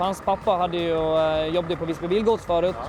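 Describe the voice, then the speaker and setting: A man's high voice at a fairly quick pace, fairly even in intonation, over noticeable background noise. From Gotland, Sweden. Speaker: truck driver. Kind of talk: casual interview.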